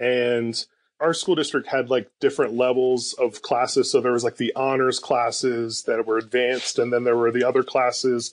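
A man talks at a moderate pace in an unremarkable speaking voice. His loudness stays very even over a quiet background. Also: medium pitch for a man, fairly even intonation. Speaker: pastor. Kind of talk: casual chat.

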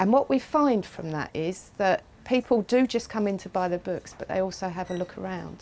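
A woman speaks with a slightly mellow tone. Her pitch varies in an ordinary way. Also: medium pitch for a woman, moderate pace.

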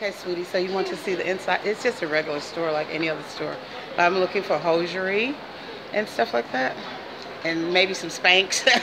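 Noticeable background noise accompanies a woman talking at a fairly quick pace, her fairly low pitch showing ordinary pitch variation. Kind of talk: casual vlog chat. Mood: playful, laughing. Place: shop. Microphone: phone near.

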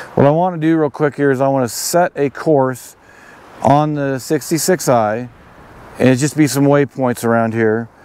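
A man at medium pitch, talking at a fairly slow pace against noticeable background noise. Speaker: outdoor gear video creator. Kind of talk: tutorial. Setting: outdoors. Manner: halting.

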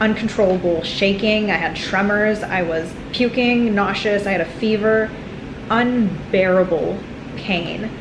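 A woman talks at a moderate pace with fairly even intonation. Noticeable background noise runs underneath. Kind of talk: casual vlog chat. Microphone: phone near.

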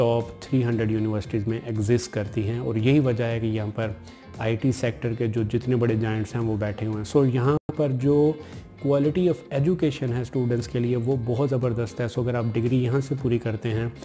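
A man at a moderate pace with ordinary pitch variation, faint music in the background. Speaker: student advice vlogger. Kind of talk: informative vlog talk. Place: home room. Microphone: camera far.

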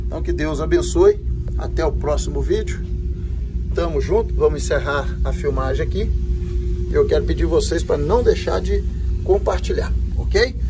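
Fairly slowly, a male speaker talks while noticeable noise fills the background. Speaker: channel host. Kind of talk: casual vlog chat. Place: tunnel cave.

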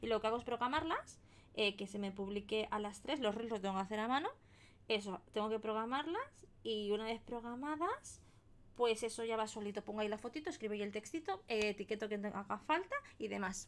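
In a Spanish accent, a woman talks at a fairly quick pace with an animated tone and ordinary pitch variation. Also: fairly high pitch for a woman. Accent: Spanish (Spain). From Spain. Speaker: crafting streamer. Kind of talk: live stream chat while colouring. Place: home room.

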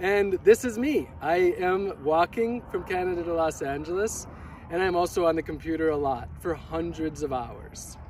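A man with a high voice speaks at a moderate pace with ordinary pitch variation, the sound dry with no echo and light background noise behind him. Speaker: vlogger. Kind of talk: casual vlog chat. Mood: cheerful, reflective. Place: open country. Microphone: camera far.

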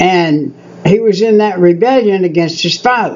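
A man is speaking. Light background noise runs underneath. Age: 70s. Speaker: preacher. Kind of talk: sermon. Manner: animated. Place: home room. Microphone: webcam.

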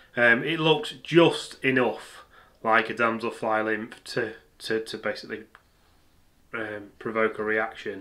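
A man talks at a very slow pace in a bright, sharp tone. His intonation is fairly even, and the background is quiet. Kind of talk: tutorial.

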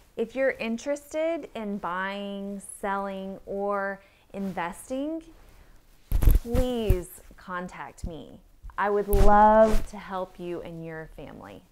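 A woman with an American accent, lively in intonation, with big swings in loudness, at a very slow pace, over light background noise. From Texas, Austin; Texas. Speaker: real estate agent. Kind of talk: promotional introduction and informal interview. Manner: casual with filler words. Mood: warm, friendly. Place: home room.

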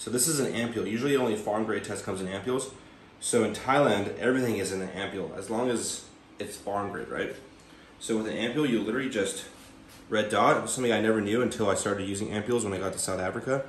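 Talking at a very fast pace with fairly even intonation, a man with a fairly low pitch is heard amid audible room echo and light background noise. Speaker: fitness vlogger. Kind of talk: casual vlog chat. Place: kitchen. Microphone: phone near.

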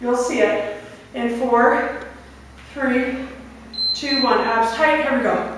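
Amid strong room echo and noticeable background noise, a woman with a high pitch and fairly even intonation talks very slowly, leaving long, frequent pauses. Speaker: fitness instructor. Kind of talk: live guided workout, barking interval cues and countdowns. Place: gym. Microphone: camera far.

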